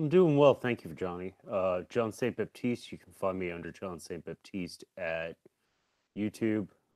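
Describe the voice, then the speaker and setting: Mumbling at a moderate pace, a man speaks with a very deep, low pitch and ordinary pitch variation. The recording is very clean with a silent background and a dry, close sound with no echo. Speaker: music youtuber and co-host. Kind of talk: casual chat.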